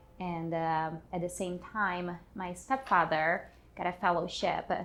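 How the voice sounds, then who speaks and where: A woman with a Portuguese accent and a fairly low pitch speaks fairly slowly with fairly even intonation. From Brazil, São Paulo. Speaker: artist and activist. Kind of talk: personal testimony.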